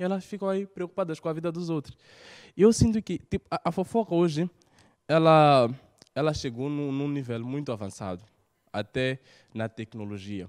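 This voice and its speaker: Against a quiet background, a man speaks at a fairly high pitch with very wide pitch swings and an animated tone. Long, frequent pauses break up his speech. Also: moderate pace. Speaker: stand-up comedian. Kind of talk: stand-up comedy; stand-up comedy routine. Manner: animated, punchy delivery with rhetorical jokes. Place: studio. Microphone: handheld.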